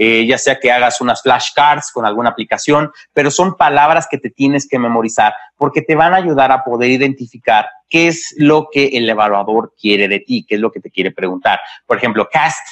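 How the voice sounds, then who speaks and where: A man speaks at a moderate pace with medium pitch and ordinary pitch variation. The sound is dry and close, with no echo. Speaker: medical exam prep instructor. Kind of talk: webinar lecture. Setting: live stream on Facebook Live and Zoom. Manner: halting, with many fillers.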